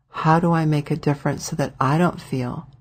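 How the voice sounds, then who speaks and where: A woman's very deep, low voice, somewhat breathy and monotone, at a moderate pace in a very clean recording with a silent background. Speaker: wellness practitioner and channel host. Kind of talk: motivational talk.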